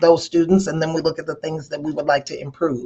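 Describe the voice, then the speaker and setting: A woman's voice with fairly even intonation. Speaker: education conference presenter. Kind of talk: conference presentation. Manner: fast.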